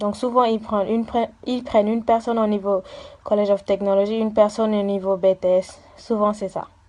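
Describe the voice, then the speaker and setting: A woman speaking in a flat monotone at a fairly quick pace. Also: fairly high pitch for a woman. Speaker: university student. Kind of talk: interview. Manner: halting, many fillers.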